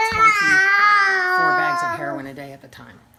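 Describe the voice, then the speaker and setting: A woman's voice with noticeable background noise and audible room echo. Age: 60s. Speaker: grandmother raising grandchild, lawyer. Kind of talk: interview testimony.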